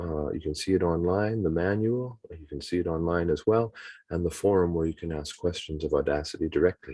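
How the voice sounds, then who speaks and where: A man talks at a fairly quick pace with a very deep, low pitch and a dark, mellow tone. He has a Canadian accent, and the background is quiet. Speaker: webinar presenter, teacher trainer. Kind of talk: tutorial. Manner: fast. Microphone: choppy audio, poor internet connection.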